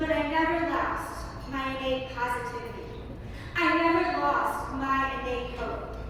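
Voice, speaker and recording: A raised, projected voice carries at a fairly slow pace with ordinary pitch variation. Noticeable background noise is present. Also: woman, high pitch for a woman. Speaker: spoken word poet. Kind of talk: spoken word poetry performance. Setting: live event.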